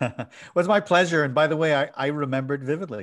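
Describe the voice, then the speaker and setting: The background is quiet as a man speaks with an American accent. He talks at a fairly quick pace with ordinary pitch variation. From Ireland, Dublin. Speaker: technology author and former city CIO. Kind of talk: podcast interview.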